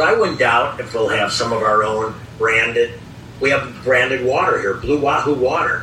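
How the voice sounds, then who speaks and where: A man with an American accent speaks at a moderate pace, his medium pitch showing ordinary variation. Audible room echo and noticeable background noise are present. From US Midwest, Chicago area. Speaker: baseball team owner. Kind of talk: interview.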